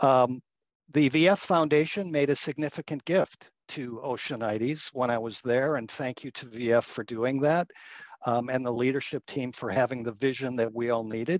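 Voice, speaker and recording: A man uses an ordinary speaking voice at medium pitch with ordinary pitch variation and a moderate pace. The sound is dry and close with no echo, over a quiet background. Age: 60s. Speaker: communications agency partner, former foundation executive. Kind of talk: interview.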